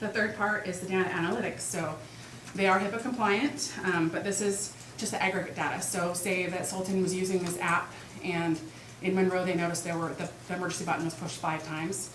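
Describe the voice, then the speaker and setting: Amid noticeable background noise and audible room echo, a woman speaks at a very fast pace with medium pitch and fairly even intonation. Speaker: community presenter at school board meeting. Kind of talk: presentation at public meeting.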